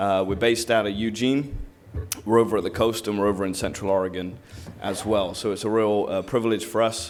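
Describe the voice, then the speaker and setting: A man with an English accent talks at a fairly quick pace with fairly even intonation, and room echo is audible. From southern England. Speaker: commercial lender and panel moderator. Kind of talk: event introduction and panel moderation. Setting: stage with audience.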